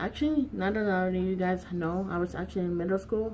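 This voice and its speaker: Here a woman uses an ordinary speaking voice at a medium pitch and a moderate pace. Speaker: YouTuber. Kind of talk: casual vlog chat.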